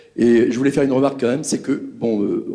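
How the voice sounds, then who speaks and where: A man's dark, mellow voice at a fairly quick pace. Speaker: audience member. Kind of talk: audience question. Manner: fast.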